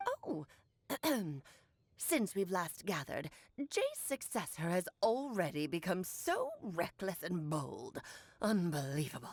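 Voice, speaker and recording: A woman puts on a character voice. She speaks at a fairly slow pace with long, frequent pauses. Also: medium pitch for a woman. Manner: imitating an older woman's voice.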